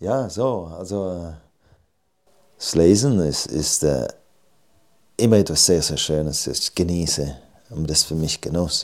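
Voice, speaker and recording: With a very deep, low pitch, a man speaks at a fairly slow pace with lively intonation and long, frequent pauses. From Switzerland, Graubünden (Surselva village). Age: 40s. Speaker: novelist. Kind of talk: interview at literary event.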